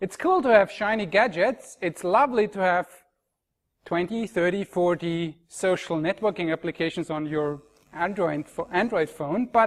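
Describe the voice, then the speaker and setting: In a very clean recording with a silent background, a man with a high pitch speaks fairly slowly and with lively intonation. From Austria. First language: German. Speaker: university lecturer. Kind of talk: conference talk. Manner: hesitant, with fillers and restarts.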